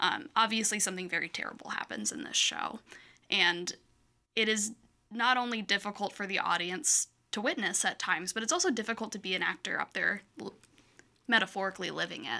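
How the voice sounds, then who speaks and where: Speaking at a fairly quick pace, a woman with a Midwestern American accent has a bright, sharp tone, a fairly high pitch and lively intonation. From Michigan. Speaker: actor. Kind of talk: casual chat.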